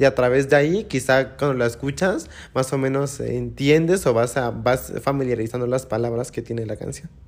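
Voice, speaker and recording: At a moderate pace with hardly any pauses, a man has a normal speaking voice of medium pitch and ordinary pitch variation. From Mexico, Oaxaca (Juchitán, Isthmus). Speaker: muxe interviewee, traditional dancer. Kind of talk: interview. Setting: in-person studio with small audience.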